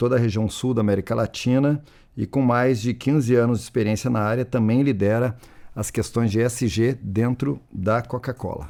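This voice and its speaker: At a moderate pace, a man with a southern Brazilian accent speaks at a medium pitch with fairly even intonation and a dark, mellow tone, in a very clean recording with a silent background. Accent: gaúcho accent, noticeable. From Rio Grande do Sul, southern Brazil. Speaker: panel moderator, industry association representative. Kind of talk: panel discussion moderation.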